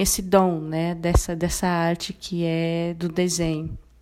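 Through noticeable background noise, a woman speaks fairly slowly in a fairly low voice. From Brazil, Mato Grosso do Sul (Guarani Kaiowá village near Dourados). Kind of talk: interview.

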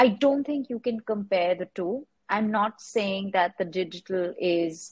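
Somewhat breathy and medium-pitched, a woman speaks at a fairly slow pace with ordinary pitch variation. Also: dry, close sound with no echo. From India, Mumbai. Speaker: artist. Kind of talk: interview.

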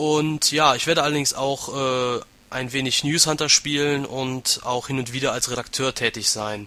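A man with a medium pitch talks fairly slowly and with fairly even intonation as noticeable noise runs behind him. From western Germany, Aachen. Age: 20s. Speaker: gaming website administrator. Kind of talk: casual interview.

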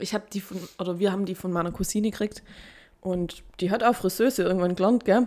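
This woman talks very fast at a medium pitch, her dark, mellow tone carried on fairly even intonation. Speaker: podcast co-host. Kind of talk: casual chat.

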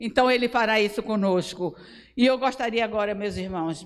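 A woman with an ordinary speaking voice talks at a moderate pace. Her pitch is fairly high and her intonation fairly even. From Brazil, Bahia interior. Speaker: pastor. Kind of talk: sermon.

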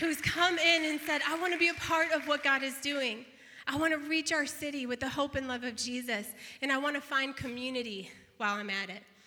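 A woman with a high pitch speaks in a raised, projected voice at a fairly quick pace. Her tone is bright, sharp, warm and upbeat, with ordinary pitch variation. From northeastern Illinois / southeastern Wisconsin, US. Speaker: pastor. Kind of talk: celebratory church announcement. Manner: warm, upbeat.

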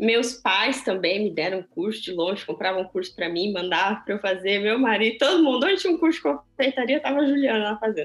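Speech races along very fast with hardly any pauses, its pitch swinging very widely. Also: woman, fairly high pitch for a woman. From Brazil. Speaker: chocolatier and small business owner. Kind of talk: interview conversation. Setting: video call.

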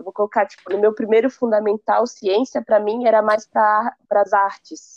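Speaking at a moderate pace, a woman with an unremarkable speaking voice keeps a fairly even intonation at a fairly high pitch. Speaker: university student. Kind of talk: casual chat.

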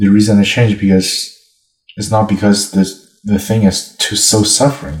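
With a non-native accent, a man talks in a fairly low pitch and fairly even intonation, leaving long, frequent pauses. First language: not English. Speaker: language practice partner. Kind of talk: casual chat. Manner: fast talker.

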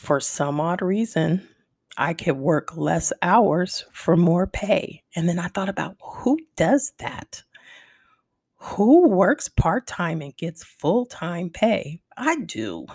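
A woman speaks at a very slow pace with lively intonation and a medium pitch. Her voice is somewhat breathy, and the sound is dry and close with no echo. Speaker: wellness podcast host. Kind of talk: solo podcast monologue. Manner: slower than usual.

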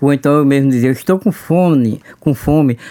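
Recorded with a dry, close sound and no echo, a man talks at a moderate pace in a fairly high voice. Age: 50s. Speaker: oral cancer survivor. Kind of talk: testimony. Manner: halting.

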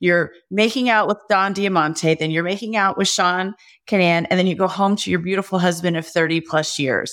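A woman speaks at a moderate pace in a medium pitch, with a plain, everyday voice. The recording is very clean, with a silent background. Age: 50s. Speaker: podcast host. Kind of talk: casual chat.

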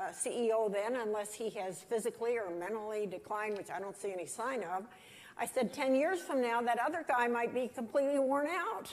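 A woman with a fairly high pitch, a normal speaking voice and a moderate pace. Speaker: interviewer. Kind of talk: interview.

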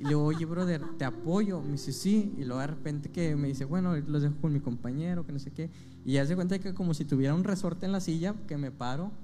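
With music in the background and audible room echo, a man talks at a very fast pace with hardly any pauses. His voice is fairly high, with ordinary pitch variation. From Monterrey, Nuevo León, Mexico. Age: 20s. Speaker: preacher in rehab centers. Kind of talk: testimony. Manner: halting, many fillers.

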